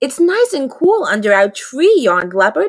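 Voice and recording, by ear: A natural voice reading aloud.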